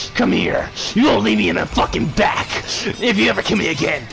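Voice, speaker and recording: Putting on a character voice, a man speaks fairly quickly and fairly high, his loudness very even over clear background noise. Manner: menacing.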